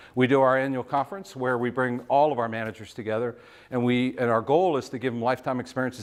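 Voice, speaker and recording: A man talking very fast at a medium pitch. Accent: American. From Virginia, Shenandoah Valley. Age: 50s. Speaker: business executive, guest speaker. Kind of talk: talk with audience Q&A.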